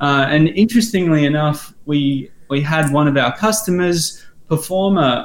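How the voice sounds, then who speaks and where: With an Australian accent, a man talks at a fairly high pitch. His pitch variation is ordinary. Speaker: learning software company guest. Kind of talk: podcast interview.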